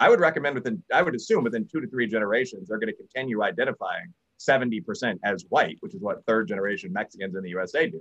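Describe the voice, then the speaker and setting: Very fast male speech with an American accent, vocal fry and very wide pitch swings. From US Midwest, Chicago. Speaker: political science professor. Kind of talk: casual chat.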